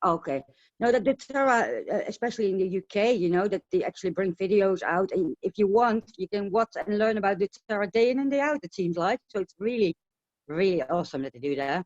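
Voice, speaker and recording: In a Dutch accent, a woman speaks at a medium pitch and a fairly quick pace. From Netherlands. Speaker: essential oil distributor. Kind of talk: casual interview on webinar. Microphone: connection breaking up.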